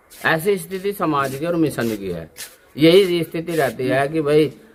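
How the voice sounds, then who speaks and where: Lively intonation from a man with a fairly high pitch, over noticeable background noise. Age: 50s. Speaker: religious leader. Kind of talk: interview.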